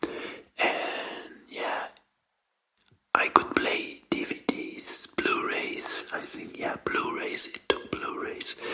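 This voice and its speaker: Whispering at a very slow pace. The tone is gentle. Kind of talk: ASMR whispered talk about game controllers. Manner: gentle, soft, whispered.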